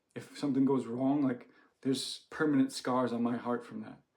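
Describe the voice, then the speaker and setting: Speaking at a moderate pace, a man with an American accent uses a medium pitch. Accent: American, sometimes taken for Canadian. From United States. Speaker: doctor. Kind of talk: personal story to camera. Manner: casual, many fillers.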